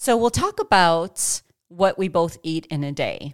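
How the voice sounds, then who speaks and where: At a fairly low pitch and a fairly slow pace, a woman with an unremarkable speaking voice uses lively intonation, recorded very cleanly against a silent background with a dry, close sound and no echo. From Chicago. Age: 40s. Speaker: fitness podcast host. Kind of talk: casual chat.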